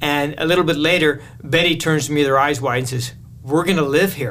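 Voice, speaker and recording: With a Canadian accent, a man talks at a moderate pace in a fairly high pitch, using ordinary pitch variation, and audible room echo surrounds him. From Canada, southern Manitoba. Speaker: missionary. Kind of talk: interview.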